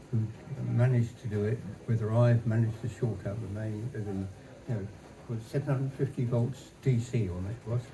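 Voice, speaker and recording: A man of medium pitch at a fairly quick pace, fairly even intonation, long and frequent pauses, audible room echo and noticeable background noise. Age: 80s+. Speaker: retired engineer and early game developer. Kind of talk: stage talk interview. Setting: stage with audience. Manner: halting.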